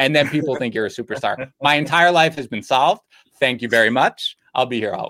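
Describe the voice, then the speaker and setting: With a New York accent, a man speaks fairly quickly at a medium pitch with ordinary pitch variation and a bright, sharp tone. His loudness swings widely, and the sound is dry and close with no echo. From Queens, New York. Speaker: fantasy football editor and podcast host. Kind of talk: casual chat.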